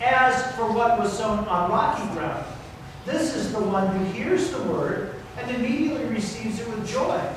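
In strong room echo with noticeable background noise, a man with a high pitch speaks at a fairly slow pace and with ordinary pitch variation. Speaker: pastor. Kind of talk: scripture reading. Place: church.

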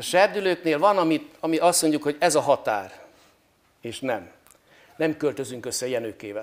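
A man's voice with vocal fry and big swings in loudness. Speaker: priest guest on talk show. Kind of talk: interview answer. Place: hall. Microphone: lapel.

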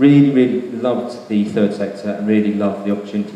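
A man with a fairly low pitch and fairly even intonation is heard with audible room echo and light background noise. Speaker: guest. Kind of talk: presentation talk. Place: hall. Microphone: handheld.

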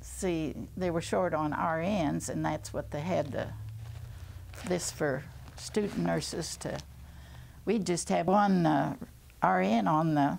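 Light background noise sits under a woman with an American accent. She speaks at a very slow pace with long, frequent pauses. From Missouri. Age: 80s+. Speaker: retired nurse and WWII cadet nurse. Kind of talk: interview answer. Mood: calm, reminiscing. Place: home room.

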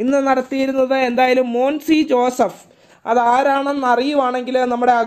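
A man speaks at an extremely high pitch. His intonation stays monotone and flat. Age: 20s. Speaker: gaming streamer and match commentator. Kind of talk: live commentary.

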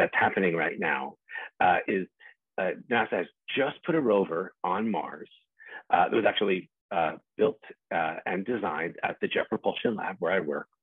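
A man talks at a moderate pace with a fairly low pitch. The sound is dry with no echo over a quiet background. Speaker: invited guest lecturer. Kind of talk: lecture. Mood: enthusiastic, relaxed. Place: home room. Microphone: video call.

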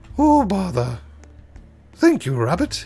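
A man puts on a character voice, pitched high. Faint music plays in the background. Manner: put-on imitation.

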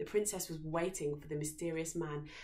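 A woman speaks at a moderate pace. Her voice is low-pitched with a slightly mellow tone.

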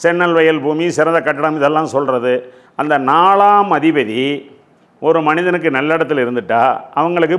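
Audible room echo surrounds the recording. The man's pitch is fairly high. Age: 60s. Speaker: astrologer. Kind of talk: lecture.

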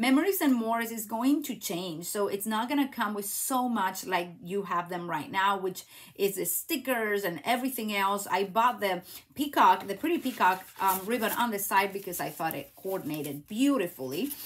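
A woman with a Spanish accent talks at a moderate pace with lively intonation against a quiet background. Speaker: craft demonstrator and YouTuber; craft demonstrator. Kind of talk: live craft tutorial stream; devotional message. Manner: animated. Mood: warm, encouraging, faith-based. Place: home room.

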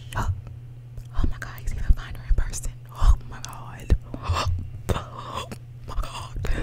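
Whispering at a fairly slow pace, a woman uses a playful tone and leaves long, frequent pauses. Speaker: ASMR creator. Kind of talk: ASMR whisper video. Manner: whispered, playful. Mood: playful, amused. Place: home room. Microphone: studio mic.

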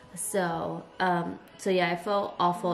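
Over light background noise, a woman with a fairly low voice speaks in a tired tone. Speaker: vlogger. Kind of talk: casual vlog chat. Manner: weak, tired sick-day voice. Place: kitchen. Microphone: phone near.

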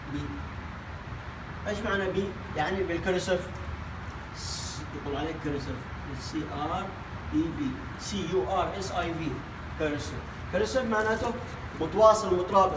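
A man with a Yemeni accent talks at a moderate pace with long, frequent pauses. Noticeable background noise runs underneath. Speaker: English teacher. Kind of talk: language lesson. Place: classroom. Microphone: camera far.

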